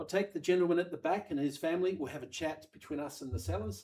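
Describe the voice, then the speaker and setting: A man with a slight Australian accent at a very fast pace. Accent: slightly Australian-tinged. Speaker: auctioneer. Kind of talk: live auction calling. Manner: animated.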